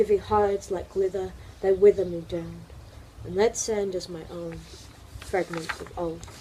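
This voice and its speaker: Against noticeable background noise, a woman speaks with big swings in loudness and long, frequent pauses. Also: moderate pace. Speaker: spoken word poet. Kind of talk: poetry reading.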